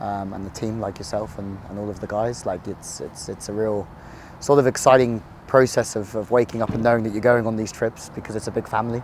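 An unremarkable speaking voice belongs to a man with a fairly low pitch, fairly even intonation and a fairly quick pace. The sound is dry with no echo, over light background noise. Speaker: sports commentator. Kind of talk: interview answer. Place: open country.

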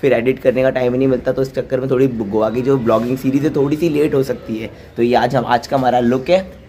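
Hardly pausing at all, a man talks at a fairly quick pace over light background noise. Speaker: travel vlogger. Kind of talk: casual vlog chat. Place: street. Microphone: phone near.

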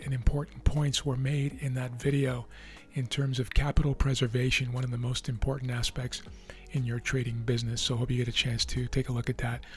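Against music in the background, a man speaks in a monotone, flat way, the sound dry with no echo. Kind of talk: commentary. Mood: relaxed.

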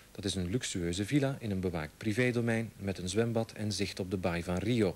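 With ordinary pitch variation, the speaker talks at a fairly quick pace. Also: man. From Belgium (Flanders). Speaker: news anchor. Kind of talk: 1989 TV news broadcast, scripted anchor delivery. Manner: formal, clear and authoritative. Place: studio.

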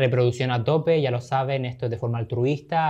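A man speaks at a very fast pace over a quiet background. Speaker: podcast host. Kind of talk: casual interview. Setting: studio. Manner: animated. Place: studio. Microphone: studio mic.

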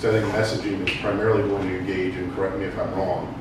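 A man speaks in a flat, monotone voice with a fairly low pitch. Noticeable background noise and strong room echo fill the recording. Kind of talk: meeting report. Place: meeting room. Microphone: camera far.

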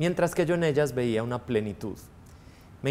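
The voice belongs to a man. His pitch sits in the middle range. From Colombia, Antioquia (Girardota); Antioquia, Colombia. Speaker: priest. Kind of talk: testimony interview. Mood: warm, reflective. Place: studio.

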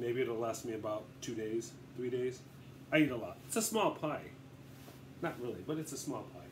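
A man talks at a moderate pace and a medium pitch, with ordinary pitch variation. His voice is somewhat breathy, and he takes long, frequent pauses. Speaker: home cooking video maker. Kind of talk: casual tutorial. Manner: rambling, casual.

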